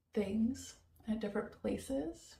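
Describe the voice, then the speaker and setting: The speaker is a woman with an American accent. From United States, hippie commune. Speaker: vlogger. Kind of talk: casual vlog monologue. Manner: halting, many fillers.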